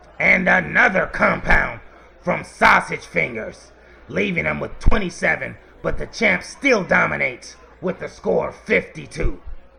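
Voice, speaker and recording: Putting on a character voice, a man sounds raspy and keeps a moderate pace. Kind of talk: comic sports commentary parody. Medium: comedy sketch. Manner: chuckling, hearty, mock-formal.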